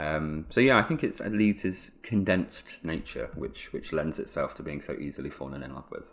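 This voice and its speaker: A man with a southern English accent speaks at a moderate pace with hardly any pauses. His loudness swings widely. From southeast England (Hertfordshire). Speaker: photographer and local historian. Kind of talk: interview conversation.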